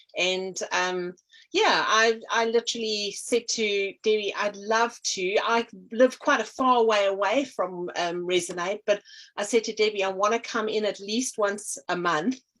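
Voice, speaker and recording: The speaker has a South African accent. The pace is fairly slow. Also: woman, medium pitch for a woman, ordinary pitch variation. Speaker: artist and energy healer. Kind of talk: interview. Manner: hesitant, many fillers.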